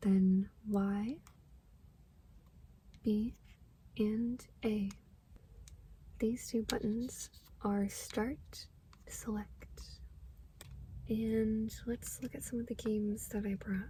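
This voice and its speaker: Soft-spoken delivery at a very slow pace, broken by long, frequent pauses. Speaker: ASMR gaming content creator. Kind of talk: ASMR tapping and scratching video, soft spoken show-and-tell. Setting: lofi, low quality ASMR recording.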